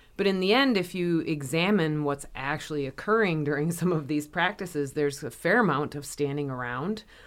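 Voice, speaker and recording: Over a very clean recording with a silent background, a woman speaks at a fairly quick pace with hardly any pauses and ordinary pitch variation. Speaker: incoming institute director, kinesiology academic. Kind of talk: interview.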